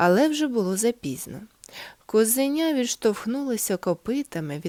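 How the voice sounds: Reading aloud in a natural way, the voice has lively intonation.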